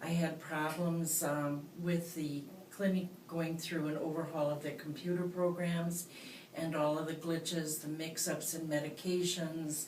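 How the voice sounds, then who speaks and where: In a room with audible echo and noticeable background noise, a woman speaks slowly-ish in a fairly low pitch with monotone, flat intonation. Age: 60s. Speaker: patient giving testimonial. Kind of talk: testimony. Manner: halting, many fillers.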